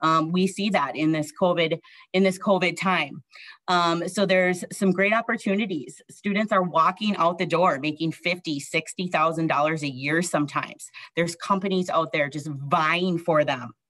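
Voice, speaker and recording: A woman talks in a normal speaking voice, fairly low in pitch with ordinary variation. The background is quiet. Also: moderate pace. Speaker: college admissions director. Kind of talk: informational presentation. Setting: video call. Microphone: webcam.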